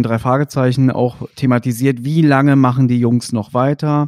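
A man at medium pitch speaks with an ordinary speaking voice and fairly even intonation. The sound is dry and close, with no echo. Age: 30s. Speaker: podcast host. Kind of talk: casual interview.

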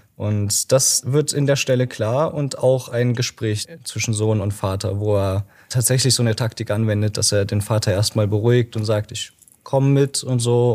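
Here a man talks at a moderate pace with a fairly low pitch. His somewhat breathy voice keeps a fairly even intonation. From Germany, Dresden (Saxony). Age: 20s. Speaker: library volunteer presenting a book. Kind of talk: casual interview about a book.

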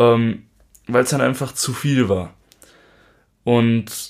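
A man's voice is captured in a very clean recording against a silent background. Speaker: podcast co-host, musician. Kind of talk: casual chat.

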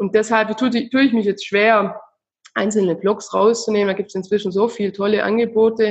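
Speaking at a fairly quick pace, a woman uses a medium pitch and monotone, flat intonation. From southern Germany. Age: 30s. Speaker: founder of a financial education project for children, mother. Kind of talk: interview. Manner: halting, many filler sounds.

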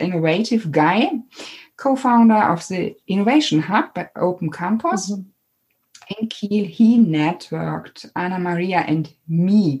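A woman with a German accent speaks at a medium pitch, somewhat breathy. Her pitch varies in an ordinary way. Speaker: podcast host. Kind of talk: interview; monologue.

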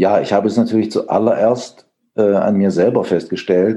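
Here is a man with a dark, mellow tone and a medium pitch. He speaks at a moderate pace. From Thuringia, eastern Germany. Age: 50s. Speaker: photographer. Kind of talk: interview. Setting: video call.

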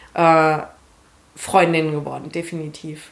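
A woman speaks at a fairly slow pace. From Hesse, Germany (Marburg). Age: 20s. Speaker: calisthenics athlete. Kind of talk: interview.

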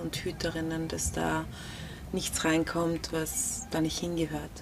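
A woman talks very slowly, with noticeable background noise behind her. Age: 30s. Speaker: researcher and mother sharing birth story. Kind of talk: interview, personal testimony. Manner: hesitant, many filler sounds.

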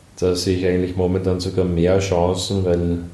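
Audible room echo surrounds a man speaking with a very deep, low pitch. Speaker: company founder and design executive. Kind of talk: interview. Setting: office. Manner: halting, many filler sounds.

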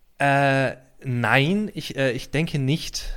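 At a very slow pace, a man with a slight Swabian accent speaks at a medium pitch on a very clean recording with a silent background. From Heidelberg, Baden-Württemberg. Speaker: comedy writer. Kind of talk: casual interview chat.

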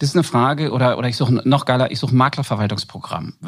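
A man talks at a very fast pace with medium pitch. The recording is very clean, with a silent background. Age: 40s. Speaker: insurance business founder. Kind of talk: interview.

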